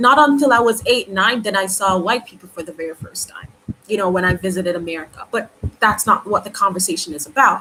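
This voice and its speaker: A woman speaks at a very fast pace in a medium pitch with ordinary pitch variation and big swings in loudness, over noticeable background noise. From Jamaica. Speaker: YouTuber. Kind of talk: live stream commentary. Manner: halting.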